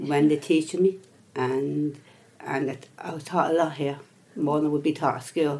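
In a Dublin accent, a woman speaks with a very deep, low pitch and flat, monotone intonation. She leaves long, frequent pauses, and background noise is noticeable. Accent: Dublin Irish. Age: 60s. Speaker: adult education student. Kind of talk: interview. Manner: stammer.

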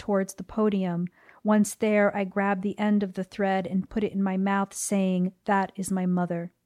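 A woman speaks with an American accent in a dark, mellow tone at medium pitch, slowing to a fairly slow pace. Her intonation is monotone and flat, and the recording is very clean with a silent background. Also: dry, close sound with no echo. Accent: general American with New Jersey tinge. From US Northeast (New Jersey). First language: Spanish. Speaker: poet and translator. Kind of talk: interview conversation.

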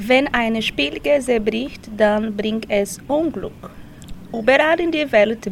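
In a Portuguese accent, a woman speaks very slowly at a fairly high pitch with lively intonation over noticeable background noise. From Brazil. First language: Portuguese (speaking German). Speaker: language course participant. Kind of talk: reading aloud.

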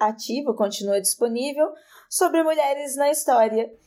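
Very clean recording with a silent background: a woman with a high voice and a dark, mellow tone. She speaks at a moderate pace with lively intonation. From interior of São Paulo state, Brazil. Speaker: podcaster. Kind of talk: casual chat.

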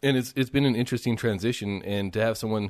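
A man with a normal speaking voice talks at a moderate pace and a fairly low pitch, his intonation fairly even. The background is quiet. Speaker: podcast host. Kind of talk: interview chat.

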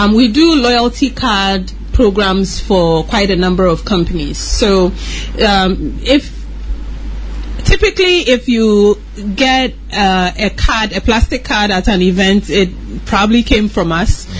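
Very slow speech from a woman against noticeable background noise. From Ghana. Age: 30s. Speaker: entrepreneur. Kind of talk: radio interview.

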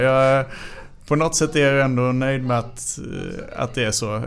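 A man's fairly high voice moves at a moderate pace, its intonation staying fairly even. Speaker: fencer. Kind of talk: interview. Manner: halting.

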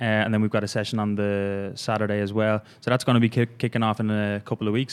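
A man speaks at a fairly quick pace, his pitch fairly low and his intonation monotone and flat. The recording is very clean, with a silent background. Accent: Irish. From Ireland. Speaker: fitness coach. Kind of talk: casual chat. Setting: studio.

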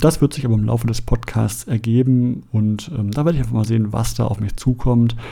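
A man's voice has a dark, mellow tone, sounds somewhat breathy, and shows ordinary pitch variation. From Germany, Essen (Ruhr area). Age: 40s. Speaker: podcast host. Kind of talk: monologue podcast introduction.

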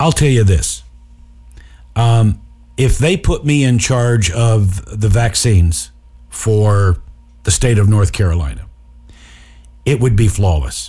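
At a very slow pace with long, frequent pauses, the voice is dark and mellow, somewhat breathy, lively in intonation and very even in loudness. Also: man, fairly low pitch for a man. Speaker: radio host. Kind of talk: casual comedic radio show banter. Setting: studio. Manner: sarcastic, joking.

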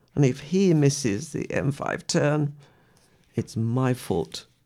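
Her very deep, low voice has vocal fry and a dark, mellow, gentle, warm tone, moving at a very slow pace in a very clean recording with a silent background. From West Midlands, England. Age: 80s+. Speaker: radio presenter and poet. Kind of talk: reading poems aloud between personal stories. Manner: gentle, warm, reflective storytelling with soft laughs; poem delivery: measured, expressive, rhythmic reading with a prayerful tone.

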